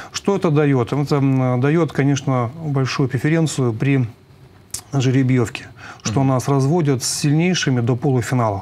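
Speaking at a moderate pace, this voice keeps its loudness very even and shows ordinary pitch variation. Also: man. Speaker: sports coach. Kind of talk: interview answer. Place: studio.

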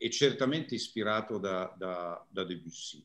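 A man's fairly slow speech over a quiet background. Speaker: musicologist lecturer. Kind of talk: lecture. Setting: video call. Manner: calm. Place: home room. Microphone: video call.

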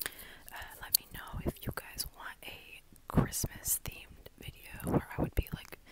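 A woman whispers. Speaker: ASMR creator. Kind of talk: ASMR whisper talk to camera. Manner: whispered. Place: home room. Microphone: phone near.

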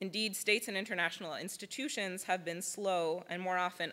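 The tone is bright and sharp. The pace stays moderate. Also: woman. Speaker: public interest lawyer. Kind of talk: conference presentation. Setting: stage with audience. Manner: formal. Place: hall. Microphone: podium.

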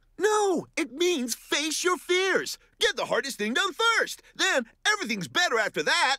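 A cartoonish character voice, extremely high in pitch, upbeat in tone and moderate in pace. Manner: upbeat, encouraging, cocky.

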